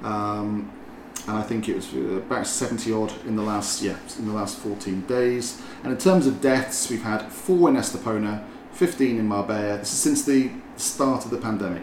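A man's fairly low-pitched voice is heard with noticeable background noise. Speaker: podcast host and property company director. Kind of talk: casual interview chat. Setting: basement room with aircon running.

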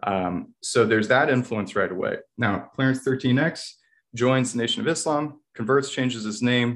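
Someone with an American accent speaks at a moderate pace with ordinary pitch variation, on a very clean recording with a silent background. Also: man, medium pitch for a man. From Virginia, US. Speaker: university writing instructor. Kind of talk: casual interview. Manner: halting, with fillers and repeated words.

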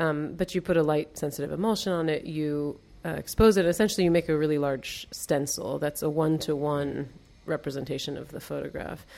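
A woman's very deep, low voice with a dark, mellow tone and a Mid-Atlantic American accent, fairly quick in pace and fairly even in intonation, on a very clean recording with a silent background. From US, Baltimore. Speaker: artist and art teacher. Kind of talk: casual interview. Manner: hesitant, many fillers.

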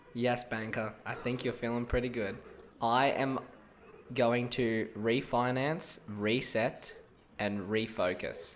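Very slow pace and fairly even intonation from a man. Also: medium pitch for a man. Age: young. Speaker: sports betting podcaster. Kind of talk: casual solo podcast on sports tips. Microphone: mic sensitivity turned right down, mouth very close.

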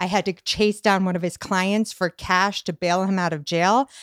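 In an ordinary speaking voice, a woman talks at a medium pitch and a moderate pace, the recording very clean with a silent background and a dry, close sound with no echo. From Boston. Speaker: comedian and personal trainer. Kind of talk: casual chat.

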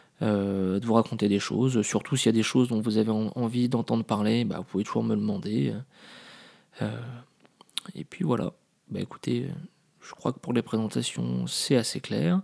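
Pausing long and often, a man speaks at a moderate pace with a fairly low pitch and ordinary pitch variation. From Paris, France. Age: 30s. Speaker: podcaster. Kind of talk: casual monologue. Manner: hesitant, many fillers.

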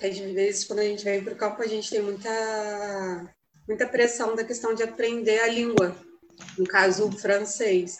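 A woman's fairly high-pitched voice with monotone, flat intonation at a moderate pace. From Brazil, Rio de Janeiro. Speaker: young missionary volunteer. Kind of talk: casual chat, sharing experiences.

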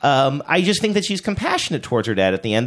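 Loud and very fast, a man's voice swings very widely in pitch over a very clean recording with a silent background. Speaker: podcast host. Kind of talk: casual chat.

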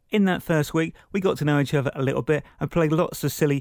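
Recorded very cleanly against a silent background, a man with a southern English accent speaks with ordinary pitch variation. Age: 30s. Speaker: radio presenter and amateur comedian. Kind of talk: podcast narration.

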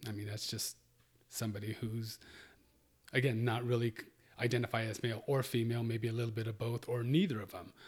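At a fairly quick pace broken by long, frequent pauses, a man speaks in a somewhat breathy, monotone, flat voice. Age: 50s. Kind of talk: interview.

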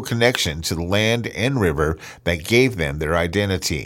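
In a very clean recording with a silent background, a man speaks at a fairly quick pace with very wide pitch swings. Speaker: radio host and narrator. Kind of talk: scripted radio narration.

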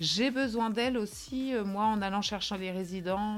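This is a woman with an unremarkable speaking voice. She talks at a fairly slow pace with ordinary pitch variation. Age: 30s. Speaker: nursing home hairdresser. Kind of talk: testimony.

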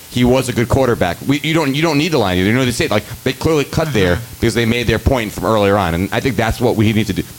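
Music plays behind a man with an American accent. He talks at a very fast pace with lively intonation and very even loudness. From New York City, the Bronx. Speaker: filmmaker. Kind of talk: panel discussion. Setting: stage with audience. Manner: talkative.

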